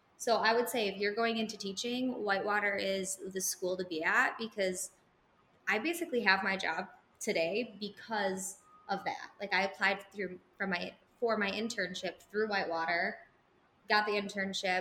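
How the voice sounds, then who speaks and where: A woman's medium-pitched voice with a bright, sharp tone, a moderate pace and fairly even intonation. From Wisconsin (small town). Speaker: special education teacher. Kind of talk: casual chat. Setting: live podcast with audience.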